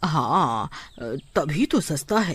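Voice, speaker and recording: This is a cartoonish character voice. It sits at a middle pitch. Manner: friendly, smooth-talking.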